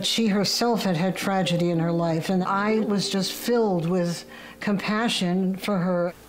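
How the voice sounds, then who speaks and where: This woman has an American accent and speaks at a fairly slow pace. Her intonation is fairly even, and room echo is audible. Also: medium pitch for a woman, very even loudness. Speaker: social media user. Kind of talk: testimony.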